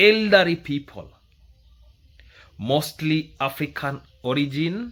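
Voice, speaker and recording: A man's fairly high voice in a Kenyan accent, very slow with lively intonation, on a very clean recording with a silent background. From Kenya, rural village. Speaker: YouTube commentator. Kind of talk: commentary monologue.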